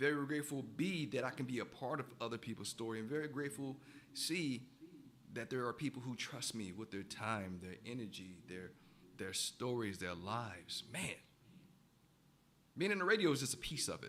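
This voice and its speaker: A man speaks at medium pitch with lively intonation. Long, frequent pauses break up his speech. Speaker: radio host and coach. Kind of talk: radio talk segment. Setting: radio studio booth. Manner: fast.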